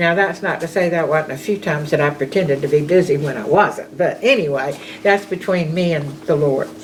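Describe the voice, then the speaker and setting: With a Southern US accent, a woman speaks at a fairly quick pace with hardly any pauses, a fairly low pitch and ordinary pitch variation, over noticeable background noise. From US South, rural Georgia (Bulloch County). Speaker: storyteller recounting her life. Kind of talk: personal reminiscence. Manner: casual.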